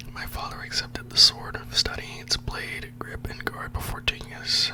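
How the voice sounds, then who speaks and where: Whispering, a man's voice rises and falls sharply in loudness against noticeable background noise. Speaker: ASMR storyteller. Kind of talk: read story. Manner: whispered. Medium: read story.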